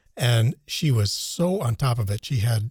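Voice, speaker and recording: A man with an American accent sounds somewhat breathy. The recording is dry and close, with no echo. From United States. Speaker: podcast co-host. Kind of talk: casual chat.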